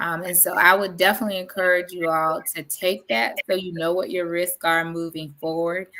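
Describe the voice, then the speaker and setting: Speaking at a moderate pace with hardly any pauses, a woman with a Southern US accent has a fairly low pitch, fairly even intonation and a bright, sharp tone. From South Carolina, Sumter. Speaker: diabetes educator and occupational therapist. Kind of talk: educational presentation in podcast interview. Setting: livestream video call.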